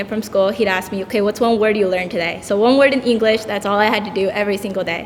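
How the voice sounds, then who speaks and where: A woman at a very fast pace, with hardly any pauses and fairly even intonation, over noticeable background noise. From El Salvador, raised in US. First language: Spanish. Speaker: tutor. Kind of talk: panel discussion.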